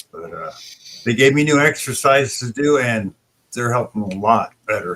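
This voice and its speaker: A man talks at a moderate pace in an unremarkable speaking voice, medium in pitch with ordinary pitch variation. His loudness swings widely. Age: 60s. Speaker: livestream host. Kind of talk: casual chat. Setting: live stream.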